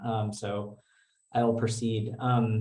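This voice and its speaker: A somewhat breathy man with an American accent, amid audible room echo. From New York. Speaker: physician and researcher. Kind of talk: lecture. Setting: video call from office.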